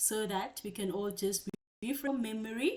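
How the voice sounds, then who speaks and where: An ordinary speaking voice moving at a moderate pace. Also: woman. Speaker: tutor. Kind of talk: online class lecture.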